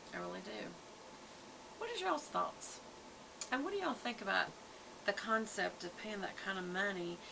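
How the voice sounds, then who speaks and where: With a Southern US accent, a woman talks at a moderate pace with long, frequent pauses, amid audible room echo and noticeable background noise. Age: 60s. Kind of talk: casual product review vlog. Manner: chatty, conversational.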